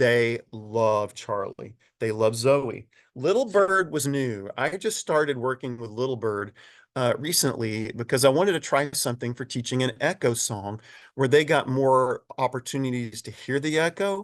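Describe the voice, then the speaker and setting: Here is an ordinary speaking voice from a man at a moderate pace with lively intonation. The background is quiet. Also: medium pitch for a man. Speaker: children's choir director and presenter. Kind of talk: webinar presentation. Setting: online webinar. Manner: casual, conversational with fillers.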